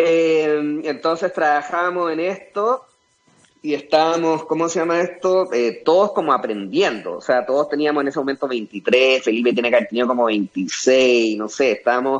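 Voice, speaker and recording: In a Chilean accent, a man speaks fairly slowly at a fairly high pitch. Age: 40s. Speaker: entrepreneur and former pro skateboarder. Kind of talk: interview.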